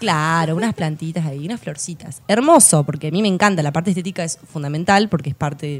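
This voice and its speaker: A woman at a moderate pace has a fairly low pitch, ordinary pitch variation and an ordinary speaking voice. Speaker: landscape designer. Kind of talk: casual interview chat.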